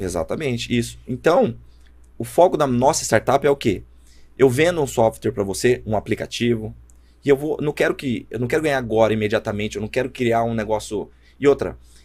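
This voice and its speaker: Vocal fry runs through a man's voice as he speaks at a fairly quick pace with ordinary pitch variation. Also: medium pitch for a man. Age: 20s. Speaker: startup founder. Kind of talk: casual chat.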